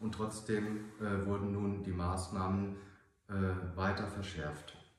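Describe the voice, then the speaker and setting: Against noticeable background noise and audible room echo, a man speaks fairly slowly at a fairly low pitch. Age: 40s. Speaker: mayoral candidate. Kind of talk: campaign statement.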